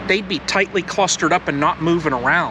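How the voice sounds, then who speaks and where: Noticeable background noise accompanies a man's high-pitched voice, dry with no echo. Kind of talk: casual vlog chat. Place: garden. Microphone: camera far.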